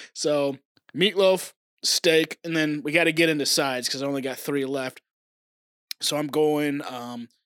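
Man with an American accent and a normal speaking voice, fairly high in pitch, at a moderate pace with fairly even intonation, in a dry, close sound with no echo. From Oklahoma. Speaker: podcast co-host. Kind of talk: casual chat. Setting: remote recording from home.

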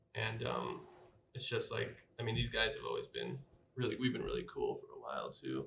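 A man talks at a fairly quick pace but leaves long, frequent pauses. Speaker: outreach team member and podcast editor. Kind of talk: casual chat.

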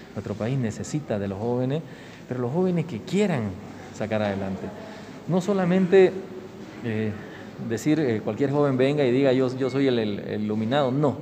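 Noticeable background noise and audible room echo accompany a man at medium pitch speaking at a moderate pace. His intonation is lively, broken by long, frequent pauses. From Bolivia, Santa Cruz (San Ignacio de Velasco). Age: 40s. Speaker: politician. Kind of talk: interview.

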